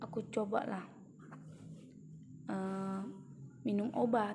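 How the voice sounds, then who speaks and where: A woman is speaking. Her pace is very slow. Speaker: vlogger. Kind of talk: personal testimony. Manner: halting, many fillers.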